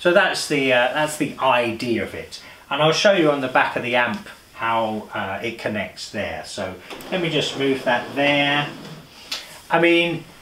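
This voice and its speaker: With audible room echo and light background noise, a man talks at a fairly slow pace. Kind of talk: tutorial. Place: home room.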